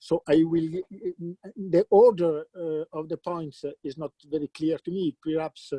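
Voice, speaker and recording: Heard dry and close with no echo, a man with an Italian accent and a dark, mellow tone speaks at a fairly high pitch, fairly slowly, with fairly even intonation. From Italy, Lombardy. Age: 60s. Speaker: philosopher of mathematics. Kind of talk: conference talk. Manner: halting, many fillers.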